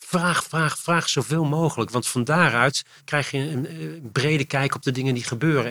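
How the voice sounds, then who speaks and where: On a very clean recording with a silent background, a man of medium pitch speaks at a moderate pace with ordinary pitch variation. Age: 60s. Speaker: foundation CEO. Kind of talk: interview conversation. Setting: in person recording. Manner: halting.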